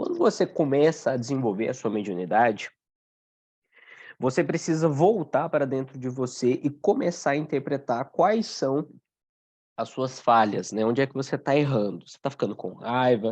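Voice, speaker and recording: A man with a plain, everyday voice speaks at medium pitch and a moderate pace. His intonation is lively, and his loudness swings widely. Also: quiet background. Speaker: Umbanda study teacher. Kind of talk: online class lecture. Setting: video call with screen sharing.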